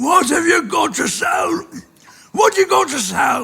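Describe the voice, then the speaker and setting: A man shouts in a put-on character voice at an extremely high pitch. He keeps a fairly slow pace. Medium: read story. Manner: crafty, haggling.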